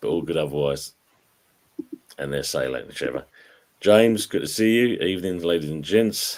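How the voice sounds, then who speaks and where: A man's very deep, low voice with lively intonation, a moderate pace, and long, frequent pauses. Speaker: football talk show host. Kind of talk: casual chat.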